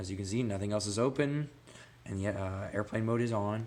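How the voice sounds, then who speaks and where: Talking at a fairly quick pace, a man has a normal speaking voice with a fairly low pitch. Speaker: gaming tech youtuber. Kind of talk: tutorial. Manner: casual with many fillers.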